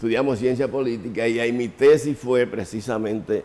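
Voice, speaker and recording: Speaking at a moderate pace, a man shows a dark, mellow tone with ordinary pitch variation. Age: 70s. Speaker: mental health physician and institution director. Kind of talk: TV interview.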